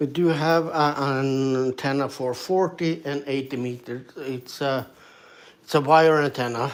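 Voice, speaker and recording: A man with a Swedish accent, fairly even in intonation, at a fairly slow pace. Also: fairly high pitch for a man. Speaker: ham radio operator streamer. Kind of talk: casual live stream talk. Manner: halting, many fillers.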